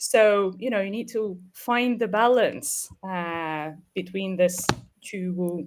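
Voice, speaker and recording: The speaker has a Ukrainian accent and lively intonation. The pace is very slow. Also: woman. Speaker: webinar host, business operations head. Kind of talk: webinar discussion.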